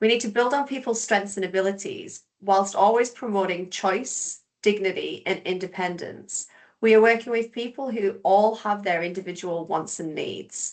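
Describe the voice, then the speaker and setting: With an English accent, a woman speaks at a moderate pace with ordinary pitch variation and hardly any pauses. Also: medium pitch for a woman. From England. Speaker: behaviour support specialist. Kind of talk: webinar presentation.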